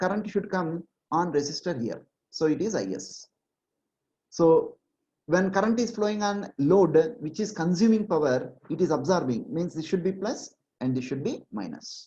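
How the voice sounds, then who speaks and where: A woman speaks with a dark, mellow tone at a fairly low pitch, somewhat breathy, at a moderate pace. Her intonation is lively, and the background is quiet. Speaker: online exam-prep teacher. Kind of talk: online lecture.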